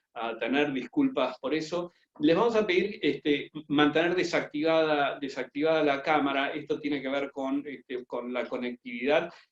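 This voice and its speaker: In a dry, close sound with no echo, a man with an Argentine accent speaks at a fairly high pitch with ordinary pitch variation. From Argentina. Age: 50s. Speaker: business school professor. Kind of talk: webinar presentation. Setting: video conference from home. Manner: fast.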